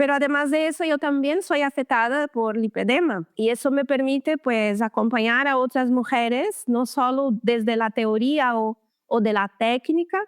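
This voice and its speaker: A woman with a Brazilian accent and a high pitch, at a moderate pace with hardly any pauses, very even loudness, and a very clean recording with a silent background. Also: ordinary pitch variation, dry, close sound with no echo. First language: Portuguese (speaking Spanish). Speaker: lymphatic therapist. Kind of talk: interview.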